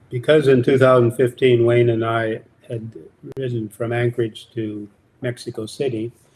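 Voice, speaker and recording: The man's voice is somewhat breathy, at medium pitch. He speaks at a moderate pace with monotone, flat intonation. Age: 80s+. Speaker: long-distance cyclist. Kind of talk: interview. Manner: halting.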